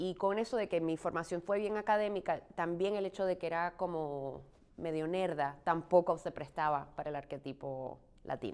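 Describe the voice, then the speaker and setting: A woman with an unremarkable speaking voice talks at a fairly low pitch and a moderate pace with ordinary pitch variation, in a very clean recording with a silent background. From Puerto Rico. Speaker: stage actress. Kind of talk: interview.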